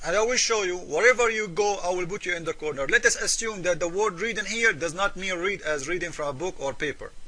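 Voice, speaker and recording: Speaking in a raised, projected voice with an Arabic accent, a man talks at a very fast pace. His pitch is high, with ordinary variation. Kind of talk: polemical commentary video. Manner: hesitant with fillers.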